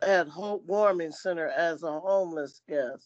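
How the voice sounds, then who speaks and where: A woman talks in an unremarkable speaking voice of medium pitch, with ordinary pitch variation. The background is quiet, and the sound is dry and close with no echo. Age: 60s. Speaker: community volunteer. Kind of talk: testimony. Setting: virtual meeting.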